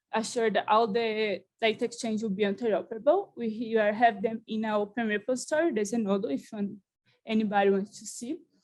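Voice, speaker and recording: A woman talks at a fairly quick pace and fairly high pitch with ordinary pitch variation. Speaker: conference presenter. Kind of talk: conference presentation. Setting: conference with audience. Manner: fast.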